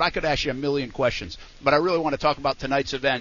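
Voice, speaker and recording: A man with a fairly high pitch uses a normal speaking voice and fairly even intonation. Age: 40s. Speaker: sports radio host. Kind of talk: casual chat. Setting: live remote broadcast at hotel event.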